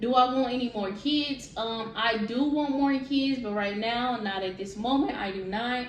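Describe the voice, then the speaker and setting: A woman's high voice at a fairly slow pace with fairly even intonation, amid noticeable background noise and audible room echo. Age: 20s. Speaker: vlogger. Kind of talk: casual Q&A vlog.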